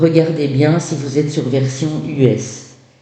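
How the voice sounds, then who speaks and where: Speaking very slowly with a Belgian accent, a man with a fairly high voice and ordinary pitch variation is heard through audible room echo and noticeable background noise. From Belgium. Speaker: tarot reader. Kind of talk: tarot reading. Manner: hesitant, many fillers.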